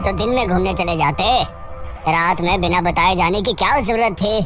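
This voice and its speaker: A put-on character voice at a middle pitch and moderate pace, over loud music in the background. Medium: audio drama.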